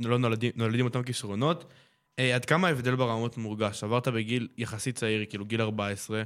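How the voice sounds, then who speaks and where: A man speaks in a normal speaking voice at a medium pitch and a fairly quick pace. His intonation is fairly even, and the recording is very clean with a silent background. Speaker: youth radio host. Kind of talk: casual interview.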